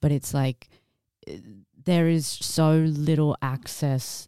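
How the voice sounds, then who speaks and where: Recorded very cleanly against a silent background, with a dry, close sound and no echo, a woman speaks at a very slow pace in a dark, mellow tone with fairly even intonation. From Kimberley region, Western Australia. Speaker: community advocate. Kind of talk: casual group conversation.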